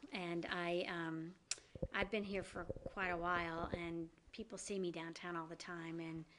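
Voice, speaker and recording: Speaking fairly slowly, a woman with a slight Southern US accent has a fairly low pitch. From US South. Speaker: downtown business district director. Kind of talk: interview.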